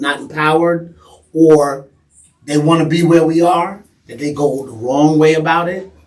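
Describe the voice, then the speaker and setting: A man with an American accent, fairly high in pitch, at a fairly slow pace. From New York. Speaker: podcast guest. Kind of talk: casual chat. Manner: loud.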